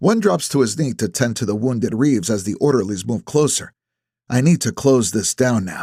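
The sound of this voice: With a quiet background behind it, an unforced reading voice shows ordinary pitch variation.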